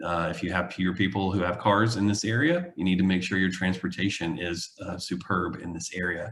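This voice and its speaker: A very deep, low-pitched man at a fairly quick pace, with fairly even intonation and hardly any pauses. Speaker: urban planning consultant. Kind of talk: public presentation. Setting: video call. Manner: hesitant, many fillers.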